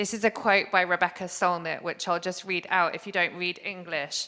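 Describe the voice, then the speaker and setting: On a very clean recording with a silent background, a woman with an English accent speaks in a bright, sharp tone. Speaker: arts organisation director. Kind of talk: conference talk.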